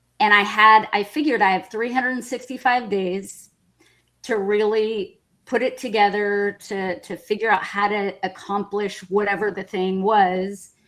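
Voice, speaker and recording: A woman with an American accent has an unremarkable speaking voice of medium pitch, speaking at a fairly slow pace with fairly even intonation. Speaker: Spanish interpreter. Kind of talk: interview testimony.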